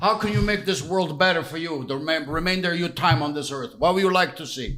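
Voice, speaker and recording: A high-pitched man at a very fast pace, animated, with ordinary pitch variation and noticeable background noise. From Italy, Calabria. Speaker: podcast co-host. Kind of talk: casual chat. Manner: insistent, animated.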